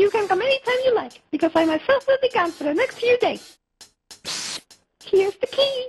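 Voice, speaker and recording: Putting on a squeaky character voice at an extremely high pitch, a woman speaks at a moderate pace with lively intonation and long, frequent pauses, in a dry, close sound with no echo. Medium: machinima. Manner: polite, giggly.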